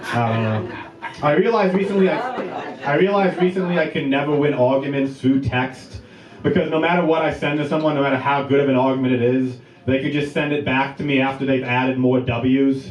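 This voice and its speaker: Noticeable background noise and audible room echo accompany fairly quick speech with very even loudness and ordinary pitch variation. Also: man, fairly high pitch for a man. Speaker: stand-up comedian. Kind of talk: stand-up.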